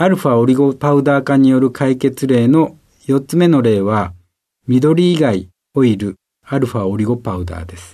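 A man speaks in a dark, mellow tone with lively intonation and big swings in loudness. The background is quiet. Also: medium pitch for a man, moderate pace. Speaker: company president and visiting professor. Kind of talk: scripted narration. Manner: formal.

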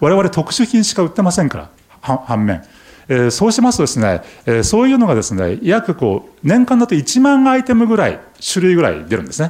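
The voice swings very widely in pitch and loudness shifts in big jumps, at a fairly quick pace. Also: man, high pitch for a man. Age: 60s. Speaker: company chairman. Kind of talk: investor presentation. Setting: stage with audience. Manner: many filler words.

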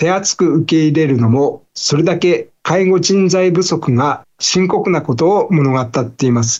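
A man talks in a high register. The rise and fall of his pitch is normal. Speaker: newspaper bureau chief. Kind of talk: news explainer. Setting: video call. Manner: formal.

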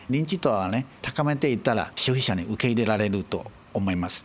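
The man's pitch swings very widely. He keeps a moderate pace. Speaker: trade office director. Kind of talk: interview.

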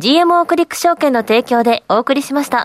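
In a dry, close sound with no echo, a woman with a high pitch and ordinary pitch variation talks at a moderate pace. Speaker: radio show assistant. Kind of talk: casual chat.

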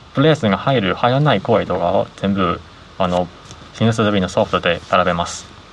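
At a moderate pace, a man speaks in a fairly low pitch with ordinary pitch variation amid noticeable background noise. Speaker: software engineer and company founder. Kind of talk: interview.

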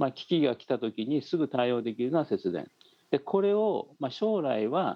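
At a moderate pace, a man speaks in a fairly high voice with very wide pitch swings and big swings in loudness. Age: 70s. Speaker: professor, former nuclear policy official. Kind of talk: remote interview. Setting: remote call.

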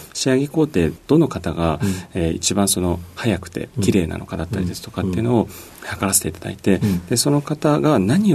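Using an ordinary speaking voice, a man talks at a fairly quick pace in a fairly low pitch with lively intonation. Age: 40s. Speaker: company CEO. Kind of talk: radio interview. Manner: polite formal with many fillers.

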